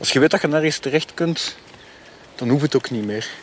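A man talks with ordinary movement in his pitch as noticeable noise sounds behind him. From Germany, Belgian military community (Flemish family). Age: 40s. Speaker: interviewee with a criminal past. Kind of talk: interview. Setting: outdoors on a snowy dog meadow.

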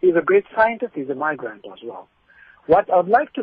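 A high-pitched man speaks. His intonation is lively. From Ethiopia. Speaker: caller. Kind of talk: radio call-in. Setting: phone call.

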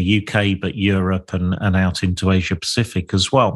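A man with an East Midlands accent speaks at a fairly low pitch against a quiet background. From Lincolnshire, England. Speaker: podcast host, property developer. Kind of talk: solo reflective monologue. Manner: halting, frequent fillers and repetitions.

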